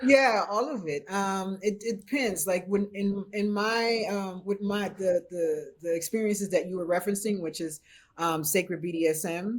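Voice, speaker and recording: A woman with a Haitian accent talks at a moderate pace with hardly any pauses, her medium pitch showing ordinary variation in a very clean recording with a silent background. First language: Haitian Creole. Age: 50s. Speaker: BDSM practitioner and chef. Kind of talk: podcast interview.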